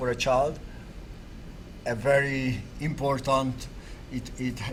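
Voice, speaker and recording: Amid noticeable background noise and audible room echo, a man speaks with flat, monotone intonation. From Hungary, Budapest. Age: 60s. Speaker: artist. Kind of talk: interview.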